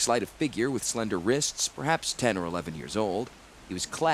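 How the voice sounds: Reading in a natural voice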